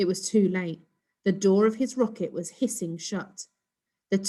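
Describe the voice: Someone reads aloud plainly over a quiet background.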